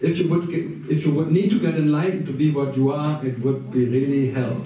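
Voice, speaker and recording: A man's fairly high voice with a German accent at a moderate pace, very even in loudness, with audible room echo and noticeable background noise. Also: ordinary pitch variation. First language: German (speaking French). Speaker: spiritual teacher. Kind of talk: talk with live interpretation. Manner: speaks in short phrases paused for interpreter.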